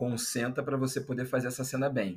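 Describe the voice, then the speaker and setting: In a very clean recording over a silent background, a man speaks in a medium pitch. His voice is somewhat breathy and his pace fairly quick. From Brazil, Rio de Janeiro. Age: 30s. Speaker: journalist, anthropologist and content creator. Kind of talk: casual interview chat.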